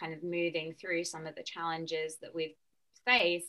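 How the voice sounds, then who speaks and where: Her tone is bright and sharp as a woman speaks with a fairly low pitch. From UK. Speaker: nutritionist and wellness coach. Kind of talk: casual interview chat.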